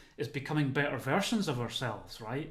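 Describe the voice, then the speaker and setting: A man with a fairly high pitch talks at a fairly quick pace amid audible room echo. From Scotland, Motherwell (West of Scotland). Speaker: well-being consultant and lecturer. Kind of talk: webinar talk. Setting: video call from home.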